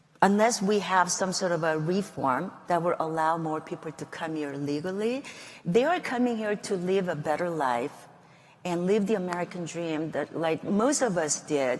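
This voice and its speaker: A woman with a Korean accent talks at a moderate pace in a fairly low pitch, her intonation lively. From South Korea, then Guam. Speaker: congresswoman. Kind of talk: interview.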